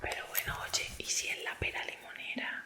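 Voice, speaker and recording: Noticeable background noise fills the recording. Over it, a woman whispers at a moderate pace. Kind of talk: ASMR product review. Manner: whispered.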